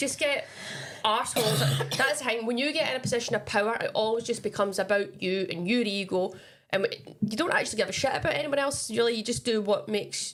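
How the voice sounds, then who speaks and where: Talking at a very fast pace, a woman with a fairly high pitch and lively intonation comes through noticeable background noise. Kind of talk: casual podcast chat.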